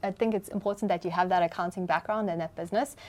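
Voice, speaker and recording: A woman with a South African accent. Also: very clean recording, silent background. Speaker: podcast host. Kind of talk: podcast interview.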